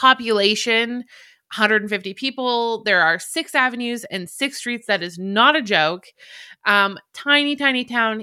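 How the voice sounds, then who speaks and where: In a Canadian accent, a woman speaks at a fairly high pitch and fairly slow pace with ordinary pitch variation. Her tone is animated, bright and sharp, on a very clean recording with a silent background. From Alberta, Canada. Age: 30s. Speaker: podcaster and blogger. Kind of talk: casual solo monologue, barely edited. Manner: self-deprecating, chatty, animated, rambling.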